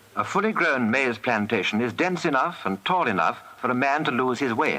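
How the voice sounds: With big pitch swings, a man talks at a fairly quick pace in a medium-pitched voice with a bright, sharp tone.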